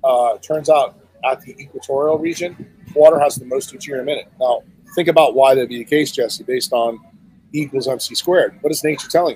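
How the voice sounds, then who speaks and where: A man with an ordinary speaking voice talks at a fairly quick pace in a fairly high pitch. His intonation is fairly even, but his loudness swings widely. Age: 60s. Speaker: neurosurgeon and health speaker. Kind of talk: podcast interview.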